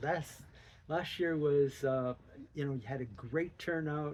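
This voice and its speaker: This man's voice sits fairly high for a man, with ordinary pitch variation. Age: 70s. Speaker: amateur runner with Lyme disease. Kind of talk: interview. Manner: halting.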